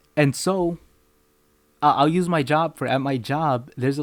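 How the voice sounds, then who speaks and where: The recording is very clean, with a silent background and a dry, close sound with no echo. A man with a Spanish accent speaks at a moderate pace. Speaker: podcast host. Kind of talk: solo podcast monologue. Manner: casual, with repetitions and false starts.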